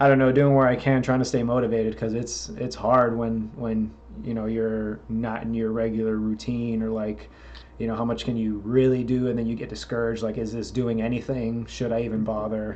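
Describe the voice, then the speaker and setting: Audible room echo surrounds a man's medium-pitched voice. He talks at a fairly quick pace in a flat monotone. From Florida. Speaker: podcast host and metal musician. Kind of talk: casual interview chat.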